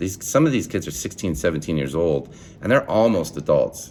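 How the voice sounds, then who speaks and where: The voice has an animated tone and vocal fry at a moderate pace. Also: man. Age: young. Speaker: student teacher. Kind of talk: video assignment monologue. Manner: loud; animated, halting with repeated words.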